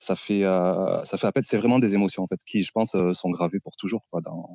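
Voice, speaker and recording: Speech comes at a moderate pace in a southern French accent. The intonation stays fairly even. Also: man. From southern France, Occitanie. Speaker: gardening youtuber. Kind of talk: interview podcast. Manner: hesitant, many fillers.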